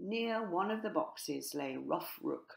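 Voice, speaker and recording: A woman's lively intonation comes across as she talks at a very slow pace. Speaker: author and narrator. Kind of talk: children's story reading.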